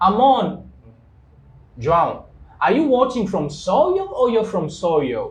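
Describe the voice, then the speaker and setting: Speaking very slowly with a Congolese accent, a man is heard with audible room echo. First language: Kikongo. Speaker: English teacher, live show host. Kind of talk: live-stream interview. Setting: studio, live stream.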